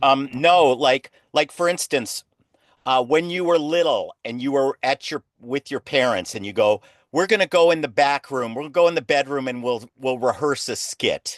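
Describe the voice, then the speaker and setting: A man with an American accent has a plain, everyday voice, fairly high in pitch with ordinary variation, at a moderate pace. The sound is dry and close with no echo, over a quiet background. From US West Coast (Los Angeles). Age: 60s. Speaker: clown teacher. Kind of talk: interview.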